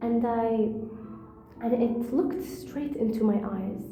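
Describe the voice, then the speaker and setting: With music in the background and audible room echo, a woman with a fairly high pitch speaks at a very slow pace and with fairly even intonation. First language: not English. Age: 20s. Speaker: storyteller. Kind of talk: personal storytelling monologue. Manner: halting.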